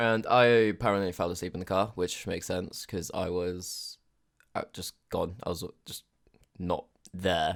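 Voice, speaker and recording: A man's very deep, low voice in a British accent, fairly even in intonation, at a moderate pace with long, frequent pauses, on a very clean recording with a silent background. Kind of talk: casual storytime talk to camera. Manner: casual, profane.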